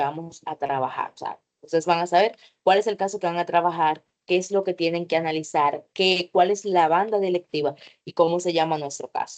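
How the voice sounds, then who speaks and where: A woman in a normal speaking voice talks at a moderate pace with a fairly low pitch and fairly even intonation, in a dry, close sound with no echo. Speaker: teacher. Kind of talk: online workshop lecture.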